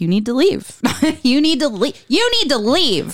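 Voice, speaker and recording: A woman's voice, put on as a character, comes out high-pitched and drawn out at a very slow pace. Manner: stern, commanding.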